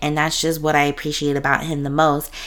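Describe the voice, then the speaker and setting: A woman with a very deep, low pitch, a bright, sharp tone and an animated delivery. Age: 20s. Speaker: podcast host. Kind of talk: casual solo monologue.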